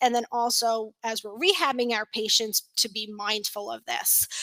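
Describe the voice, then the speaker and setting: This woman has an American accent and a fairly high pitch. Her tone is bright and sharp, and the sound is dry and close with no echo. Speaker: continuing education presenter, physical therapy. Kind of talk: lecture. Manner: hesitant fillers.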